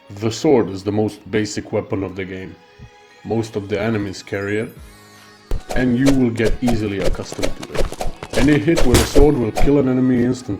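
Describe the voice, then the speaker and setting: Over music in the background, a man talks at a fairly quick pace with a medium pitch, ordinary pitch variation and big swings in loudness. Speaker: gamer. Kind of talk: game tutorial narration.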